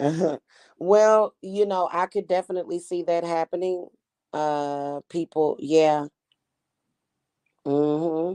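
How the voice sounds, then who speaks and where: With an American accent, a woman speaks very slowly at a fairly low pitch, her dark, mellow tone and fairly even intonation broken by long, frequent pauses, in a dry, close sound with no echo. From Kansas City, Missouri. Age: 40s. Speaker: tarot reader. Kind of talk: casual livestream chat.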